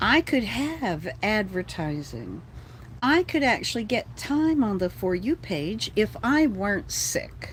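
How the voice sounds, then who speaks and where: A woman with an American accent talks at a very slow pace, her pitch swinging very widely. Her voice has vocal fry. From Texas. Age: 60s. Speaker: livestreamer. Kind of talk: casual livestream chat. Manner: animated, ranting.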